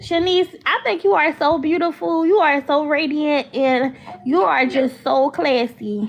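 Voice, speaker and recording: Speaking slowly in an American accent, a woman has a high pitch, lively intonation and very even loudness. Noticeable background noise sits behind her. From Philadelphia, US. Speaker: caller. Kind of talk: casual chat.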